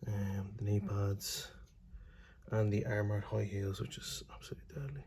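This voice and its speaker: Through noticeable background noise, a man talks at a moderate pace. His pitch is fairly low, with ordinary variation. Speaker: miniature painting youtuber. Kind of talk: tutorial. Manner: casual, hesitant.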